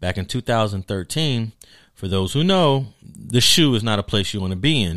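A man with an American accent has a plain, everyday voice and a fairly low pitch. His intonation is lively, and the recording is very clean with a silent background. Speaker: sociologist and professor. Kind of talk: interview.

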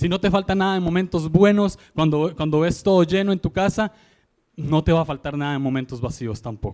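A man's high-pitched voice at a fairly quick pace. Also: ordinary pitch variation. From Costa Rica, San José. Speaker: guest preacher. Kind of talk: sermon.

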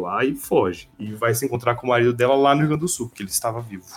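A man's voice at medium pitch. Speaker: podcast host, teacher. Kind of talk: casual chat.

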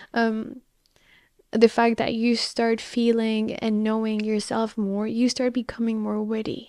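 Her voice is fairly high-pitched yet dark and mellow in tone, and the woman speaks at a fairly slow pace in a flat monotone on a very clean recording with a silent background. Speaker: podcast host. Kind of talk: solo monologue on confidence.

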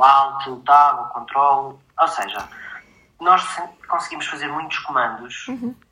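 Fairly high-pitched man at a fairly slow pace, with long, frequent pauses, big swings in loudness, and audible room echo. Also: ordinary pitch variation. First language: Portuguese (speaking Spanish). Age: 30s. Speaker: software developer and assistive tech distributor. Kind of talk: interview.

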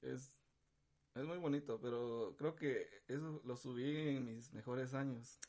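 Speaking at a fairly slow pace, a man uses a medium pitch and fairly even intonation in a dark, mellow tone. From Guatemala (capital, childhood in San Marcos). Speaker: musician. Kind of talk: casual chat.

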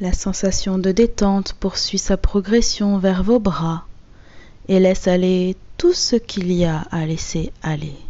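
A woman at medium pitch, very slow in pace, with fairly even intonation. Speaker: hypnotherapist. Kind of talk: guided hypnosis session. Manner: soft-spoken.

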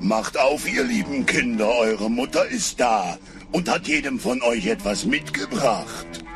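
Over clear music in the background, a man uses a put-on character voice at a medium pitch and a fairly slow pace.

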